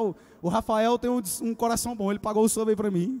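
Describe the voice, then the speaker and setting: A man talks loudly in an animated tone. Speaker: youth pastor preacher. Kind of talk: sermon to a live church congregation, with call-and-response. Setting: church with live audience. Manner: animated, loud, exhorting the crowd with urgent repeated commands; conversational and joking, with a casual youthful tone. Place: church. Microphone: handheld.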